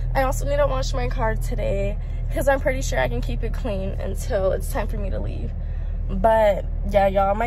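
A woman speaks at a moderate pace in a dry sound with no echo. Noticeable background noise can be heard. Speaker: vlogger. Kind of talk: casual vlog chat. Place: car. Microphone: phone near.

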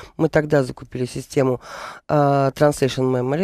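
A woman's very deep, low voice in a dark, mellow tone, monotone and flat, with a quiet background and a dry sound with no echo. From St Petersburg, Russia; Russia. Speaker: business owner; radio guest. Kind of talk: radio interview. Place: studio. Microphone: studio mic.

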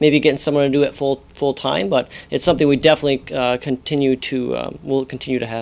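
Very fast and fairly even in intonation, a man delivers his lines. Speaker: mine staff spokesperson. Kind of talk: interview answer. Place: office. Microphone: lapel.

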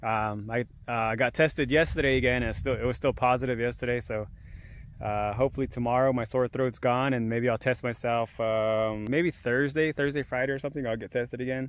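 Dry with no echo, a man's voice moves at a fairly quick pace with fairly even intonation. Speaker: fishing vlogger. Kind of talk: casual vlog chat. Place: waterside. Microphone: phone near.

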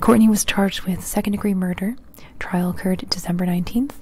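Against light background noise, a woman speaks with fairly even intonation in a dry sound with no echo. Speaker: true crime narrator. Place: home room. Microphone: handheld.

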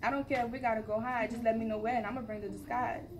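Fairly high-pitched woman's voice with a playful, confident tone over noticeable background noise. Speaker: open mic poet. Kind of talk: spoken word poetry performance, rhythmic rhyming verse about love and hustle. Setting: open mic event. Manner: rhythmic, rhyming cadence with playful, confident, animated delivery. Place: hall. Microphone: camera far.

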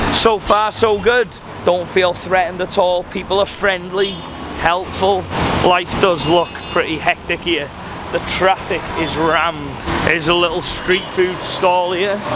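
A man speaks at a fairly slow pace, with a dry sound and no echo. Loud background noise runs underneath. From Wales. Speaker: travel vlogger. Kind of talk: travel vlog narration. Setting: outdoors. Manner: animated. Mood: curious, slightly bemused. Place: street. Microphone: phone near.

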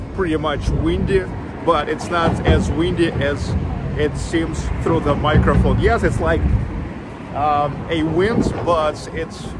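The speech moves at a very slow pace over loud background noise. The sound is dry, with no echo. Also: man. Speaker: travel live streamer. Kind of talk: casual vlog chat. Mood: relaxed, cheerful. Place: street. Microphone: phone near.

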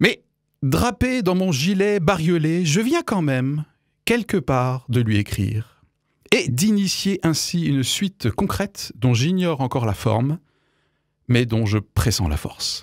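In a quiet setting, a man with a fairly high voice speaks very slowly, his pitch swinging very widely. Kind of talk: opinion commentary. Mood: wry, critical, earnest. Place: studio. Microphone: studio mic.

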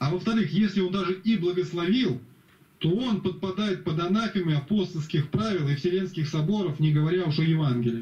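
Over audible room echo, a man with a high pitch and a dark, mellow tone talks at a fairly quick pace, his pitch varying in an ordinary way and his loudness very even. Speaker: religious speaker in group call. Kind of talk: group Bible study discussion. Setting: video call. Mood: critical, earnest. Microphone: video call.

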